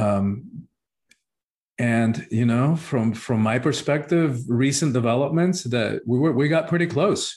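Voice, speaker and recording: Loudness stays very even as the voice moves at a fairly slow pace with ordinary pitch variation. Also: man, medium pitch for a man. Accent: Spanish. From Cuba. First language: Spanish. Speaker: spiritual teacher and author. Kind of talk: interview.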